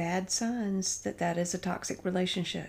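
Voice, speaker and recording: A somewhat breathy woman talks at a fairly slow pace with fairly even intonation. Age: 50s. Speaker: paralegal and cashier. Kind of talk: casual chat.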